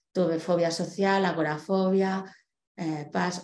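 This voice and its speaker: A woman talks at a fairly slow pace in a fairly low, dark, mellow voice with fairly even intonation. Room echo is audible. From Spain, Barcelona; Catalonia, Spain. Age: 40s. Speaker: guest. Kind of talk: personal testimony talk. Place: home room.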